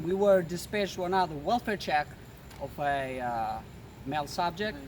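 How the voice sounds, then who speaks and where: Lively intonation at a moderate pace in an Albanian accent. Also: man, fairly high pitch for a man. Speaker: police officer. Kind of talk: interview.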